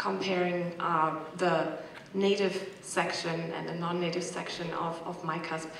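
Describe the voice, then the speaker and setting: In a German accent, a woman speaks at a fairly slow pace with monotone, flat intonation, amid audible room echo and noticeable background noise. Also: fairly low pitch for a woman. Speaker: corpus linguistics researcher, audience member. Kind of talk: panel Q&A comment. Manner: hesitant, many fillers.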